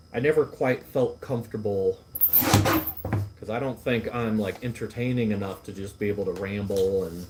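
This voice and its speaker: A man's fairly low voice with ordinary pitch variation, against noticeable background noise. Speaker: livestreamer and food vlogger. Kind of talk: casual chat. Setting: live stream at workplace. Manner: stumbles over words.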